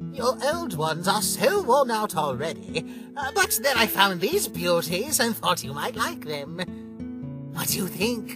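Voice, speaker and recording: A man's put-on character voice, high-pitched and at a fairly slow pace, with clear music in the background. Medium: dub. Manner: upbeat, theatrical.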